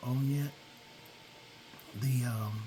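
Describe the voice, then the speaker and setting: A man's relaxed, medium-pitched voice at a very slow pace, monotone and flat in intonation, over music in the background. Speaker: gaming video creator. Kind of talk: gameplay commentary. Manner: relaxed, hesitant with fillers.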